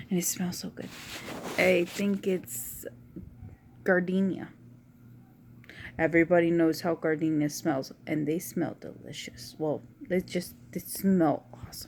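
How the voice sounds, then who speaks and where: A woman speaks quietly, her fairly low pitch carrying a dark, mellow tone. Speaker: vlogger. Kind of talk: casual chat.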